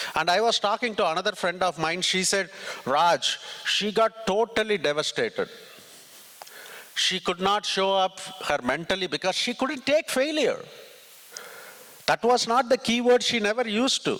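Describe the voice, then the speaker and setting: With a Tamil accent and a raised, projected voice, a man speaks at a high pitch with lively intonation and long, frequent pauses over noticeable background noise. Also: moderate pace. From southern India (Tamil Nadu, Ramanathapuram). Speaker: tech executive and conference speaker. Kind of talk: motivational talk. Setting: stage with audience.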